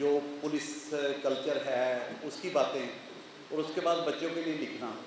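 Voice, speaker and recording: A man with a fairly high voice is heard with audible room echo and noticeable background noise. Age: 60s. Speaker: retired police officer and children's author. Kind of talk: conference speech.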